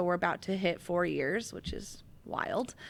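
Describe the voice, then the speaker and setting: Over a silent background in a very clean recording, a woman speaks at a medium pitch with fairly even intonation. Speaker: business owner, social media agency founder. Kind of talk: interview. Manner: fast.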